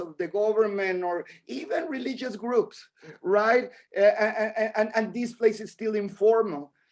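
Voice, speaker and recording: Speech at a moderate pace with a non-native accent and ordinary pitch variation. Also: man. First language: Spanish. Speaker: artist. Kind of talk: lecture. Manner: halting, repeats words.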